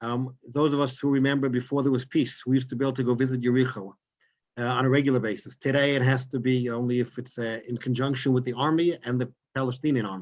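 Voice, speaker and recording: A man with a New York accent, medium in pitch, talking at a very fast pace with fairly even intonation. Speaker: rabbi and tour guide. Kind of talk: lecture. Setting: video call.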